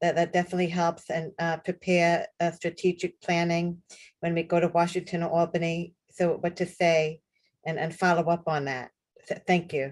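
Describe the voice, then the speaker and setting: A fairly low-pitched woman's voice in a New York accent, monotone with flat intonation. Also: moderate pace. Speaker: person with lived homelessness experience. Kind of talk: panel discussion on video call. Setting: online call. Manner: halting.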